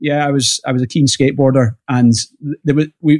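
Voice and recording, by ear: Speaking at a fairly quick pace, a man has a fairly high pitch. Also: slightly mellow tone.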